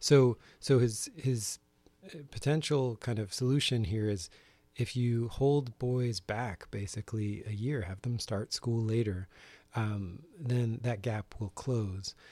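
A man speaks very slowly at medium pitch, his tone dark and mellow and somewhat breathy, with ordinary pitch variation. The recording is very clean and dry, close with no echo, over a silent background. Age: 40s. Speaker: teacher and stay-at-home parent. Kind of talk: interview conversation. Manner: hesitant, many fillers.

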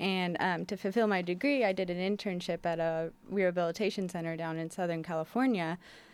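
A woman with a plain, everyday voice, fairly low in pitch, talks at a fairly quick pace with hardly any pauses and ordinary pitch variation on a very clean recording with a silent background. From Portland, Oregon. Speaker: wildlife rehabilitation coordinator. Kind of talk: radio interview. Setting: studio.

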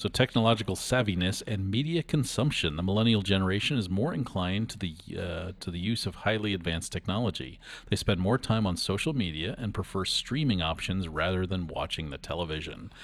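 A man with a very deep, low pitch, lively intonation and a fairly quick pace, hardly any pauses. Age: 50s. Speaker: radio host. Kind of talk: casual chat. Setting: studio. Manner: halting.

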